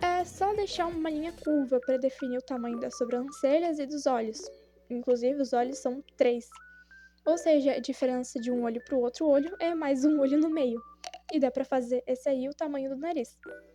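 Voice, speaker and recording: A woman talks at a high pitch. Noticeable background noise runs underneath. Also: ordinary pitch variation, moderate pace. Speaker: drawing tutorial creator. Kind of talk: tutorial.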